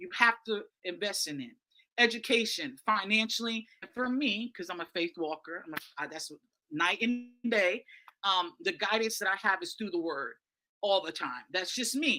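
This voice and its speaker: Bright and sharp in tone, a woman speaks at a medium pitch with lively intonation and big swings in loudness. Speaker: media host and speaker. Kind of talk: conference presentation. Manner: fast.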